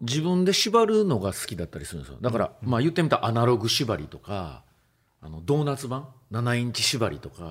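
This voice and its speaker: This man's voice sits at a medium pitch and moves through very wide pitch swings. He talks at a fairly quick pace. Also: big swings in loudness. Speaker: DJ and music producer. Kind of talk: casual chat. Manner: halting.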